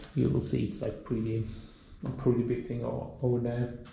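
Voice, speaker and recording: A man with a non-native accent speaks in a somewhat breathy voice with monotone, flat intonation. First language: not English. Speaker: motorcycle owner / video creator. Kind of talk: casual tutorial walkthrough. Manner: halting, many fillers and self-corrections.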